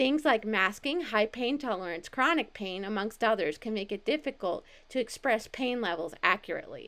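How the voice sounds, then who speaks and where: A woman with an American accent talks at a moderate pace with hardly any pauses, her fairly high voice bright and sharp with lively intonation. The recording is very clean, with a silent background. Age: 30s. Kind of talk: presentation reading slides.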